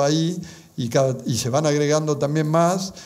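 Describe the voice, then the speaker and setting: A man speaks at a moderate pace with a fairly high pitch and ordinary pitch variation. Audible room echo surrounds his voice. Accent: Argentine. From Argentina. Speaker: speaker on Marian apparitions. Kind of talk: conference talk. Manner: halting.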